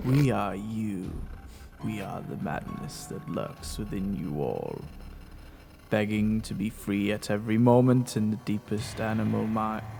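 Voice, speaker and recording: Putting on a character voice, a man talks at a moderate pace and a fairly low pitch over clear background noise. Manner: overly dramatic, ominous.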